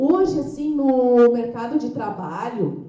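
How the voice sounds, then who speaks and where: Amid audible room echo, a woman speaks very slowly with a high pitch. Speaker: brain training franchise owner and speaker. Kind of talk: lecture.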